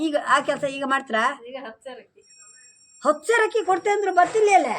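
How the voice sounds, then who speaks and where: The woman's pitch is extremely high. It swings very widely. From Kundapura region, coastal Karnataka. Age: 70s. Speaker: village elder, former farm labourer. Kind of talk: interview answer, casual conversation.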